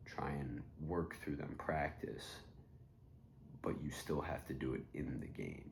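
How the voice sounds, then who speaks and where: A man speaks at a fairly slow pace with vocal fry. His pitch is very deep and low, and his intonation is fairly even. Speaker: college volleyball player. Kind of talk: casual talk to camera. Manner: monotone; thoughtful, reflective.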